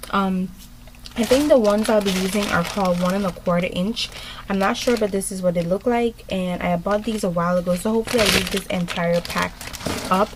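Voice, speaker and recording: Mumbling at a fairly quick pace, a woman keeps her intonation fairly even over noticeable background noise. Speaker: beauty vlogger. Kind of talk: tutorial. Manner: hesitant, many ums.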